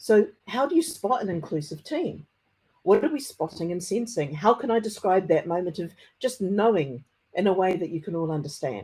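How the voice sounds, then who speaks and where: Here a woman speaks, somewhat breathy. Her pitch swings very widely. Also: medium pitch for a woman, moderate pace. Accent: strong New Zealand. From New Zealand. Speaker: conference speaker, technology consultant. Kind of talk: conference talk. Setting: conference presentation. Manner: occasional stammering on hard consonants.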